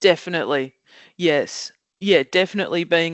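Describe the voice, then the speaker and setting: Ordinary pitch variation marks a woman's speech in an Australian accent. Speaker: job coach. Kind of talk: podcast interview. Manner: loud.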